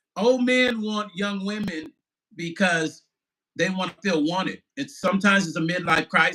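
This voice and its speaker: In a raised, projected voice, a man speaks at a moderate pace with a bright, sharp, animated tone, a high pitch and ordinary pitch variation. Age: 50s. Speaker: musician and vlogger. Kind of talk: live stream chat reading viewer comments.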